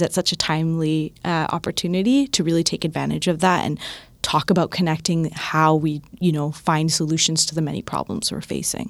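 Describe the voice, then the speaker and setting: On a very clean recording with a silent background, a woman with a Canadian accent talks at a fairly quick pace in a plain, everyday voice, fairly low in pitch and fairly even in intonation. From Toronto, Canada (Scarborough). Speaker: climate change campaigner. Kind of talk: casual chat.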